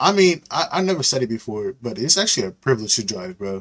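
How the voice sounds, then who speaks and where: A man at a very fast pace with very wide pitch swings, over a quiet background. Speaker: video reactor. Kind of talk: reaction video, casual chat. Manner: casual, informal, slangy. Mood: reflective about car accident. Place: home room. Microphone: headset.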